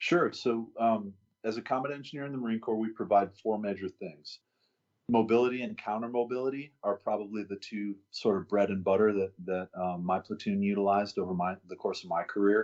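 This is a man with an American accent and an unremarkable speaking voice. He talks at a fairly quick pace, with a fairly low pitch and ordinary pitch variation. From US South, Arkansas. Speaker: fire captain and former Marine officer. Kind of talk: interview.

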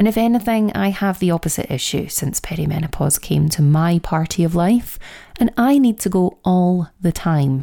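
A woman with fairly low pitch and a warm, dark, mellow tone speaks at a moderate pace with lively intonation and very even loudness. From Scotland. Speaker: podcast host and menopause coach. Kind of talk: solo educational podcast talk. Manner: warm, direct address to listeners.

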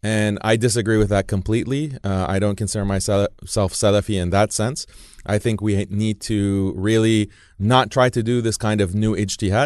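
A man with an American accent speaks at a moderate pace in an unremarkable speaking voice, fairly low in pitch with fairly even intonation, against a quiet background. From United States. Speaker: Islamic preacher and writer. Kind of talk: interview. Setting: studio.

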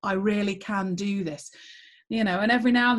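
A somewhat breathy woman's voice, fairly high in pitch, at a fairly quick pace. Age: 40s. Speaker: former school principal and geography teacher. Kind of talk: interview conversation.

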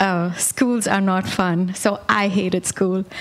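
Against noticeable background noise, a woman with an Indian accent talks at a medium pitch. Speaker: worship singer giving testimony, mother. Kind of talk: testimony. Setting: church.

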